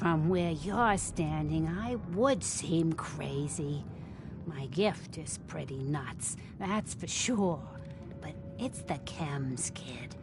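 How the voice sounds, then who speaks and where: A woman uses a put-on character voice, very deep and low in pitch, at a very slow pace. Loud background noise runs underneath. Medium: video game. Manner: folksy, slow, knowing.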